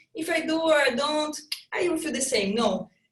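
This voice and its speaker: A woman is speaking. She has a Brazilian accent. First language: Portuguese. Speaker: fitness trainer and triathlete. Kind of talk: casual interview chat. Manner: halting, with repetitions.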